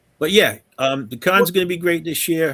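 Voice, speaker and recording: A man talks with a southern New England accent. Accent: southern New England accent, dropped th. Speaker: gaming convention organizer. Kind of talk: casual chat.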